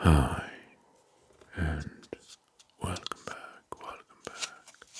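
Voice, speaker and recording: Whispered words come very slowly, with noticeable background noise behind them. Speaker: ASMR creator. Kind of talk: ASMR whisper. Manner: whispering; soft-spoken.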